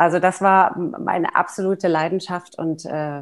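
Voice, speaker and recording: An ordinary speaking voice from a woman, fairly low in pitch, with ordinary pitch variation. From Germany, Neckargemünd near Heidelberg. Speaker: mezzo-soprano singer and voice professor. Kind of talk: interview. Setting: video call.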